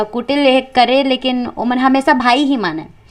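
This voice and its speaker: A woman speaks with a high pitch. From Chhattisgarh. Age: 20s. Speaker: folk singer and storyteller. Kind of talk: interview answer.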